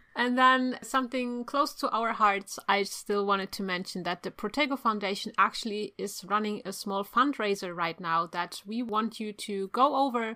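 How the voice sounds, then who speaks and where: In a German accent, a woman speaks at a moderate pace with hardly any pauses. Her voice is fairly high in pitch, bright and sharp in tone, with ordinary pitch variation. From Germany. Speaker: podcast co-host. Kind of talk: casual chat.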